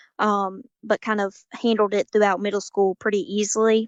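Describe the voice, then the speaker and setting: A woman speaks with a Southern US accent at a medium pitch, her intonation flat and monotone. The sound is dry and close with no echo, over a quiet background. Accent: southern drawl. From US South, Georgia. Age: 19. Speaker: college student, patient. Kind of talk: interview.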